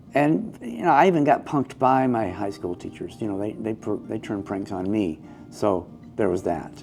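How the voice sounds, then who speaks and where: Lively intonation at a moderate pace, with an American accent and music in the background. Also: man, fairly low pitch for a man. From US South, Georgia. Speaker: storyteller. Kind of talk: casual interview chat.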